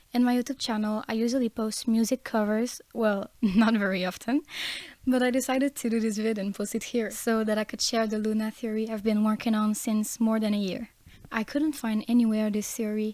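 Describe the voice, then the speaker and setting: A woman with a non-native accent talks at a fairly quick pace, her pitch fairly high. Her tone is dark and mellow, her intonation flat and monotone. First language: not English. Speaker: fan theory youtuber. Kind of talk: casual fan-theory video monologue.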